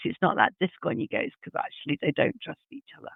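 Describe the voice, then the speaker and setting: A woman is speaking. She has a northern English accent. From English Midlands. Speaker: HR leader. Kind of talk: podcast interview.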